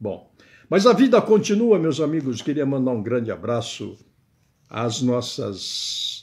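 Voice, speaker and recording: Lively intonation colors this man's somewhat breathy voice. He speaks at a very slow pace. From Brazil. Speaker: web radio commentator; political commentator. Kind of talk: political commentary monologue; casual vlog commentary. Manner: casual, chatty with frequent filler words. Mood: wry, joking. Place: home room. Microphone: webcam.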